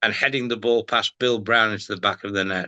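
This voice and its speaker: Against a quiet background, a man with a Liverpool accent speaks at medium pitch and a moderate pace in a bright, sharp tone. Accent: Scouse (Liverpool). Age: 70s. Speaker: retired sports presenter. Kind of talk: podcast interview. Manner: halting, repeats words.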